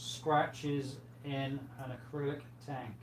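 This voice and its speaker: A soft-spoken man talks with a fairly high pitch. Audible room echo surrounds his voice. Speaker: aquarium livestream host. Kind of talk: casual livestream chat reading viewer comments. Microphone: far from the mic, sounds quiet.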